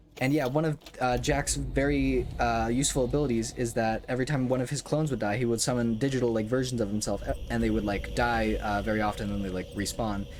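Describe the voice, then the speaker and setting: Very fast speech from a man, with hardly any pauses. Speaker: gaming streamer. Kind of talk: gameplay commentary. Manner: halting, self-admitted stuttering.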